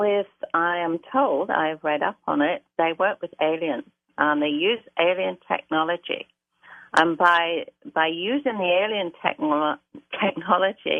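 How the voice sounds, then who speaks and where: Speaking at a fairly slow pace with lively intonation, a woman with a British accent has a fairly low-pitched voice. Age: 70s. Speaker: caller. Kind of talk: testimony.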